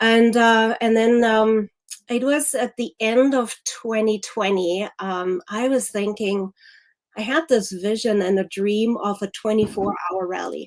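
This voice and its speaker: This woman has a German accent and a fairly high pitch. She talks at a fairly slow pace. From Germany. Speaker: activist. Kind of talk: interview.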